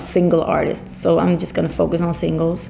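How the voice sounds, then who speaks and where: Against noticeable background noise and audible room echo, a woman with a Swedish accent speaks at a moderate pace. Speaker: singer. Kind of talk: interview. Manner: halting.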